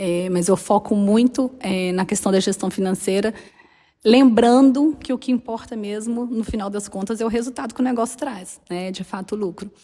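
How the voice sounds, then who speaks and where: With a Minas Gerais accent, a woman speaks at a moderate pace in a medium pitch, with a dark, mellow tone and ordinary pitch variation. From Minas Gerais, Brazil. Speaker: accountant and business mentor. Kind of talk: casual interview chat.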